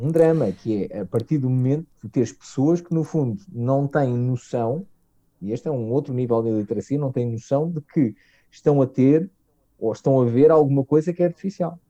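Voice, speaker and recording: With a European Portuguese accent, a man speaks at a moderate pace in a dark, mellow, medium-pitched voice with lively intonation, the sound dry and close with no echo. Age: 40s. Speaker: technology marketing director. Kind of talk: casual interview chat. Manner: halting, many fillers.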